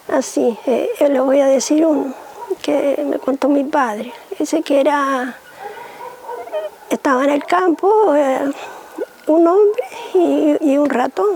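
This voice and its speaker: A woman speaks at a very slow pace, her high voice rising and falling with lively intonation and long, frequent pauses. Her loudness stays very even over noticeable background noise. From Canary Islands, Gran Canaria (Guayadeque). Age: 70s. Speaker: cane basket artisan. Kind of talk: interview, life story. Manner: halting, hesitant.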